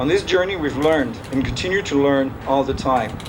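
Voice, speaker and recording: A man with a French accent talks fairly quickly at a fairly high pitch with ordinary variation. Noticeable background noise and audible room echo fill the recording. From France. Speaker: father of the groom. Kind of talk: wedding speech. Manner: halting.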